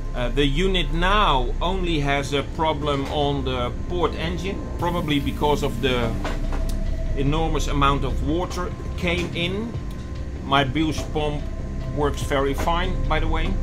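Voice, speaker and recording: A man at a fairly slow pace, with clear music in the background. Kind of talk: casual vlog chat. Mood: calm but concerned. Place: boat.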